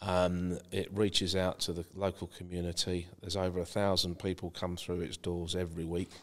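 With a southeast English accent, a man speaks in a very deep, low pitch and monotone, flat intonation. He keeps a moderate pace with hardly any pauses on a very clean recording with a silent background. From East Kent, England (Margate). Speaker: property consultant. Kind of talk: podcast interview.

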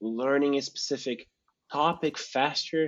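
This man has an ordinary speaking voice pitched fairly high. His intonation is lively. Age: young. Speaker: podcast host. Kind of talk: casual interview chat.

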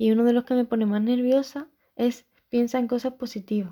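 On a very clean recording with a silent background, a woman with a fairly high pitch and a dark, mellow tone speaks at a moderate pace in a flat monotone. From Andalusia, Spain (Chiclana, Cádiz). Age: 20s. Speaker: podcaster. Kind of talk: scripted monologue.

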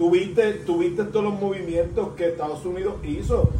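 A man with a Puerto Rican accent and ordinary pitch variation, amid noticeable background noise and audible room echo. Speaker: podcast co-host. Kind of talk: casual chat.

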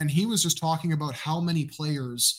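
A man with a Canadian accent speaks at a moderate pace in a fairly high pitch for a man. His voice is somewhat breathy, with fairly even intonation. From Canada. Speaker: football analyst and podcaster. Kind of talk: casual interview chat.

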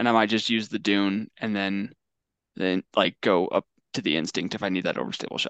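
With an American accent, a man in an unremarkable speaking voice talks at a fairly quick pace and fairly low pitch with fairly even intonation, dry and close with no echo against a quiet background. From Oregon. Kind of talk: casual chat.

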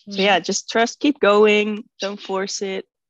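A woman's voice with a Dutch accent and vocal fry, at a moderate pace, in a dry, close sound with no echo. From Netherlands. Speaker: resin artist. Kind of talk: casual chat.

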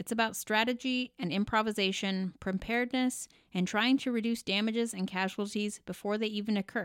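A woman speaks with a West Coast US accent at a fairly high pitch with ordinary pitch variation. The recording is very clean and silent in the background, with a dry, close sound and no echo. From Oregon, US Pacific Northwest. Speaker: emergency physician and podcast host. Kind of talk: scripted narration.

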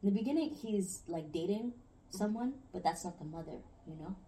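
A woman speaks at a moderate pace in a dark, mellow tone, somewhat breathy, with ordinary pitch variation. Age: young. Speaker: podcast guest. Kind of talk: casual chat. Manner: giggly.

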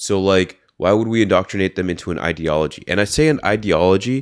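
In a Californian accent, a man with a very deep, low pitch speaks at a fairly quick pace with ordinary pitch variation, on a very clean recording with a silent background. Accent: General American, California. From US West Coast, San Francisco Bay Area. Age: 30s. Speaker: university student and former marine. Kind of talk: casual chat.

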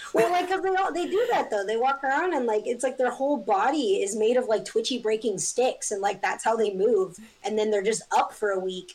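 An American-accented woman talks at a fairly quick pace with hardly any pauses, her fairly high pitch swinging very widely. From Northern California (Eureka). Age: 20s. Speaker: artist. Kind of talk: casual chat. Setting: video call. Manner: animated.

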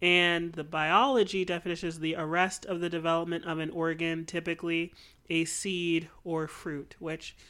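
A woman speaks in a plain, everyday voice, pitched fairly low, at a fairly slow pace. The recording is very clean, with a silent background. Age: 20s. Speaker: podcast co-host. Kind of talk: casual chat.

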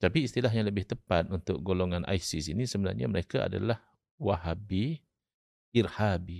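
In a very clean recording with a silent background, a man speaks at a very deep, low pitch with vocal fry. His pace is moderate, the pitch varies in an ordinary way, and the sound is dry and close with no echo. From Malaysia, Terengganu. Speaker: Islamic scholar and law lecturer. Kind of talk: podcast interview, religious discussion.

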